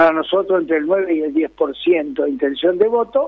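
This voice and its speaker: A man's high voice rises and falls with lively intonation. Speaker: political scientist. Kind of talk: interview.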